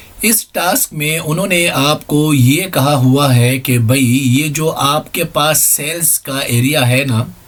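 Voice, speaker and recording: The voice moves at a very slow pace with ordinary pitch variation, against noticeable background noise. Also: man, fairly high pitch for a man, hardly any pauses. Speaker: ICT teacher. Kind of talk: tutorial. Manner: conversational.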